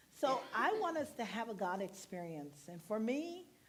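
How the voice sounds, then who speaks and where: Fairly slow female speech amid audible room echo. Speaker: minister. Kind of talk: sermon. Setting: church.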